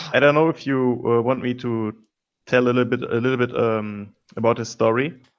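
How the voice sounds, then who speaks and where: A man with a non-native accent talks at a medium pitch and a fairly quick pace. His intonation is monotone and flat. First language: not English. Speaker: board game player. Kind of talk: casual chat; character backstory telling. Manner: halting.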